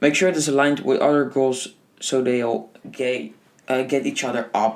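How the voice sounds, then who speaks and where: A man speaks at a moderate pace, his pitch in the medium range. His intonation shows ordinary pitch variation. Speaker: podcast host. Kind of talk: book review monologue. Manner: animated.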